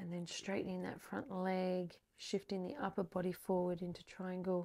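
A dark, mellow, calm and soothing tone moves at a fairly slow pace in a monotone, flat intonation over a quiet background. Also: woman. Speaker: yoga instructor. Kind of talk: guided yoga class with spoken pose cues and breathing instructions. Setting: online video practice, instructor on a mat. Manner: calm, soothing, slow and even pacing; gentle and encouraging, offering easier or deeper options. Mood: calm, soothing.

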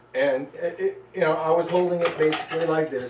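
A fairly high-pitched male voice with ordinary pitch variation and audible room echo. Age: 40s. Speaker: medical marijuana activist vlogger. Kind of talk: personal video diary. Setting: at home, on camera. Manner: halting, many fillers. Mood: earnest, self-justifying. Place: home room. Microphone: camera far.

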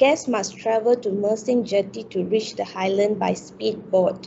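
The voice has vocal fry and moves at a fairly slow pace. Light background noise can be heard. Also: woman. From Malaysia. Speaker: university student. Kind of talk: class presentation. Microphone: video call.

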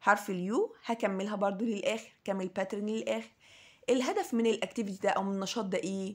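In an Egyptian accent, a woman of medium pitch speaks at a moderate pace with vocal fry and fairly even intonation. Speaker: English teacher. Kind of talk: lesson for young children.

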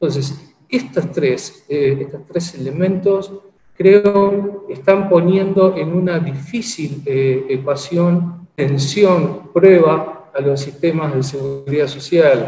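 With audible room echo, a man at a fairly high pitch speaks at a very slow pace with ordinary pitch variation and hardly any pauses. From Uruguay. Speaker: social security institute director; webinar panelist. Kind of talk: webinar presentation. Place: office. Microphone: video call.

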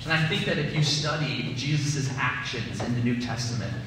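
Amid noticeable background noise and strong room echo, a man speaks at a moderate pace with ordinary pitch variation. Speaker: preacher. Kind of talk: sermon. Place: church.

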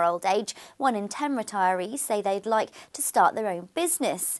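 Her pace is moderate as the woman talks. Behind her, things stay quiet. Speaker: news presenter. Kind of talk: news reading. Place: studio.

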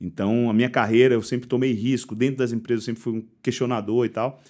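The background is quiet. The speaker talks at a very fast pace. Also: man. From Bahia, Brazil (Salvador). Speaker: logistics tech company founder; guest. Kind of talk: interview. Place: studio. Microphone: studio mic.

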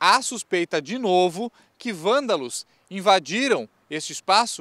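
The man's voice comes through dry, with no echo. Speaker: TV news reporter. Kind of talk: news report stand-up. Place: street. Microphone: handheld.

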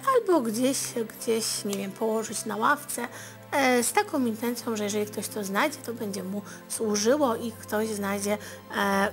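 Clear music plays behind a woman who speaks at a moderate pace with ordinary pitch variation. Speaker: TV fortune-teller host. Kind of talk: advice talk to viewers. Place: studio.

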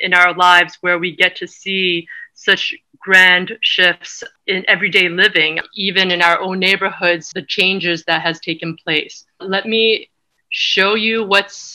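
Against a quiet background, a woman with a bright, sharp tone talks at a fairly slow pace with fairly even intonation. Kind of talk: lecture. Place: home room. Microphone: webcam.

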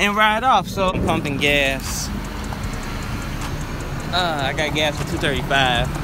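Music plays in the background as a man speaks in a dry recording with no echo. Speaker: vlogger. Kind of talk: casual vlog chat. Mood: relaxed, joking. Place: street. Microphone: phone near.

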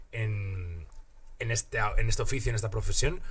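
A man speaks in a somewhat breathy voice. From Asturias, Spain. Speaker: comedian. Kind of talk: casual chat. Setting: studio. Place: studio. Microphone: studio mic.

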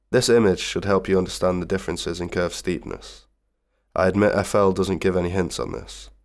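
A man with a very deep, low pitch and vocal fry talks at a fairly quick pace on a very clean recording with a silent background. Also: ordinary pitch variation. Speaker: music production tutor. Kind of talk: software tutorial narration.

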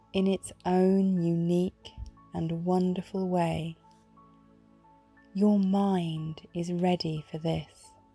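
Music plays in the background as a woman speaks at a very slow pace with long, frequent pauses. Her fairly low voice stays monotone and flat. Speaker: meditation guide. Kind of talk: guided meditation. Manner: slow, soft-spoken, reassuring.

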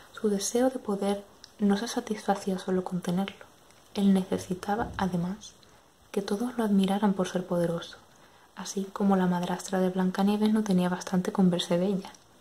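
Over light background noise, a soft-spoken woman talks at a moderate pace. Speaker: ASMR creator. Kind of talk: bedtime story reading. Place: home room.

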